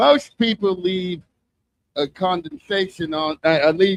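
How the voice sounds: In a dry, close sound with no echo, a man speaks slowly with ordinary pitch variation.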